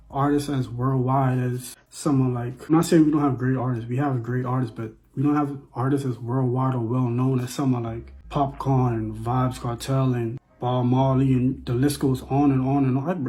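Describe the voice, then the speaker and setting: Noticeable background noise sits under a man speaking at a moderate pace and medium pitch, with a monotone, flat intonation and hardly any pauses. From Bahamas. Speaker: vlogger. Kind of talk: casual monologue. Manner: repetitive, conversational.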